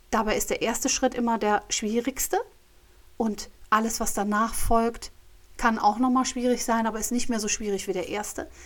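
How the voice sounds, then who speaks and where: Her pitch is fairly high for a woman. She speaks at a moderate pace with fairly even intonation. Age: 50s. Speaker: podcast host and coach. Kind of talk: solo monologue podcast. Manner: hesitant, many fillers.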